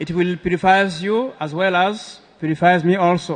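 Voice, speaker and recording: A high-pitched man's voice with a West African accent and ordinary pitch variation. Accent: French-speaking West African. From Ivory Coast. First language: French. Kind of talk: religious scripture lecture. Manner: halting, with many filler sounds.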